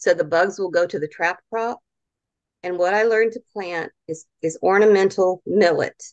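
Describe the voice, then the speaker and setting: A woman's medium-pitched voice with a Southern US accent, moderate pace, fairly even intonation, and a dry, close sound with no echo. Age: 60s. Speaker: gardening speaker. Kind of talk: lecture. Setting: video call.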